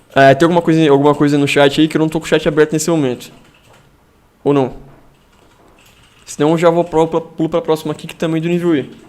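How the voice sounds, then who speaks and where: A man speaks at a very fast pace, broken by long, frequent pauses. His pitch is fairly high and his intonation monotone and flat. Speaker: math olympiad teacher. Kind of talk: live-streamed online lesson. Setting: live stream.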